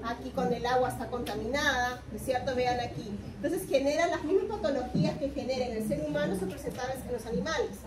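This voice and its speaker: Noticeable background noise and audible room echo surround a woman whose high voice moves in very wide pitch swings. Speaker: university lecturer. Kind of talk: lecture. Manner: interactive, questioning.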